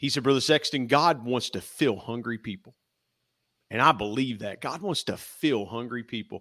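A bright, sharp voice with an American accent speaks at a moderate pace. Pitch varies in an ordinary way, on a very clean recording with a silent background. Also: man, medium pitch for a man. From US Midwest, Ohio River valley. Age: 50s. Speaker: church elder. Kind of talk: faith testimony in casual interview.

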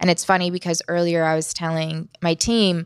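The sound is dry and close, with no echo. A woman speaks at a fairly low pitch with monotone, flat intonation. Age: 30s. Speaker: investigative journalist and podcast host. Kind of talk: casual chat. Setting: hotel room studio.

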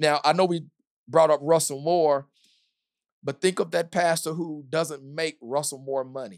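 A man with an American accent speaks at a fairly slow pace in a fairly high pitch. His is a plain, everyday voice with fairly even intonation. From US South, small-town Kentucky. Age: 40s. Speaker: pastor. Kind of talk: podcast interview conversation.

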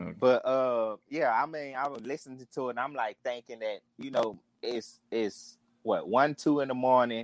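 In a New Orleans accent, a man speaks at a medium pitch with ordinary pitch variation, the sound dry and close with no echo. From New Orleans (St. Thomas). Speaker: caller. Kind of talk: call-in chat.

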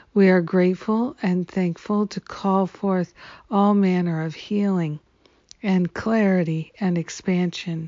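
A woman has an ordinary speaking voice at a medium pitch. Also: fairly even intonation, fairly slow pace. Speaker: spiritual teacher leading daily prayers. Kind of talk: fervent affirmative prayer, a devotional group declaration of surrender and gratitude. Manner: warm, gushing and affectionate toward listeners.

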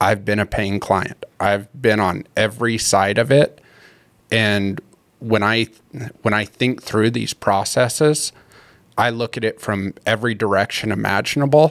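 In a dry, close sound with no echo, a man with an American accent and an ordinary speaking voice talks at a fairly slow pace, fairly low in pitch with ordinary pitch variation. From Colorado. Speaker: hunting tags consultant. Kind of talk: casual interview.

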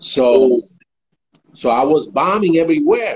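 A man speaks in a plain, everyday voice. His pitch is fairly high, and his pace is fairly slow. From New York (Bronx) and Puerto Rico. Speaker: hip hop radio producer. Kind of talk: interview. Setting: online live stream.

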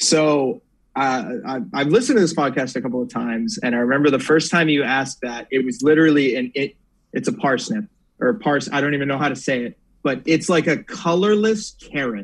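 A man with an American accent has a plain, everyday voice. He speaks at a fairly quick pace with a fairly high pitch and lively intonation. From Northern Virginia. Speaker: sports reporter. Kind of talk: casual chat.

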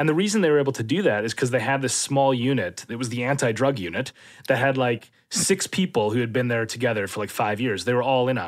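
With an Upper Midwest accent, the speaker talks at a very fast pace with lively intonation on a very clean recording with a silent background. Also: man, medium pitch for a man. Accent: Upper Midwest American. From Minnesota, US. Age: 30s. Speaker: political scientist and professor. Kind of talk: interview conversation.

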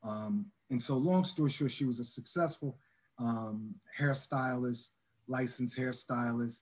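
A man with an American accent and a normal speaking voice, medium pitch, ordinary pitch variation and a fairly slow pace. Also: very even loudness. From Chester, Pennsylvania. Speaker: community outreach director. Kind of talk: interview.

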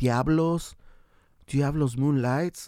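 A man speaks in a normal speaking voice with an American accent. His pace is fairly slow and his pitch varies in an ordinary way. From San Diego, California. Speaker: musician and bandleader. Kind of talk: casual interview chat.

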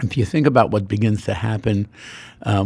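Somewhat breathy, a man with an American accent talks at a fairly quick pace. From US, Queens, New York. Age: 80s+. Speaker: dermatologist. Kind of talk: interview.

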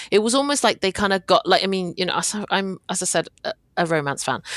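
A woman speaks with a British accent and ordinary pitch variation. The sound is dry and close with no echo, over a quiet background. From Britain, Hong Kong Chinese family. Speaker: podcast co-host and K-drama blogger. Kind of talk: casual chat.

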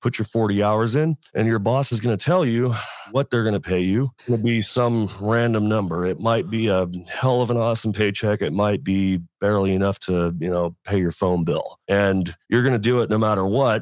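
A man with an American accent speaks in an ordinary speaking voice, fairly low in pitch with ordinary pitch variation, at a moderate pace and very even loudness. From Las Vegas, US. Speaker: welding and fabrication YouTuber. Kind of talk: casual interview.

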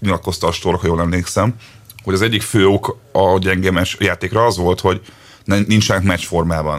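A man speaks at a fairly quick pace with a very deep, low pitch. His intonation stays fairly even over noticeable background noise. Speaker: football podcast co-host. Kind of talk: casual chat.

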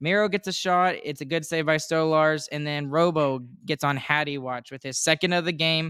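The very clean recording has a silent background. A man speaks with a fairly high pitch and a bright, sharp tone. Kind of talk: play-by-play recap of game action, like live commentary. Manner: animated, rapid-fire, excitable, rattling off plays.

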